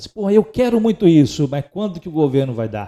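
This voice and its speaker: Very fast and with very wide pitch swings, a man speaks in a dark, mellow tone in a very clean recording with a silent background. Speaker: podcast host and entrepreneur. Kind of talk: casual podcast conversation.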